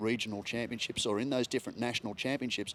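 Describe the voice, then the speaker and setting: Speaking very fast, a man with an Australian accent keeps to a medium pitch. His intonation stays fairly even. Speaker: motorsport commentator. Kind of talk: casual chat.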